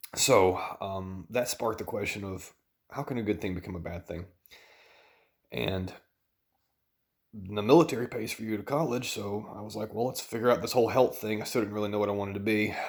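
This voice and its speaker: Quiet man with a Southern US accent, fairly low in pitch, at a fairly quick pace with long, frequent pauses and ordinary pitch variation, on a very clean recording over a silent background. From US South. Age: 30s. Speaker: dietitian and vlogger. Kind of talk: personal vlog. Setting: at home at night.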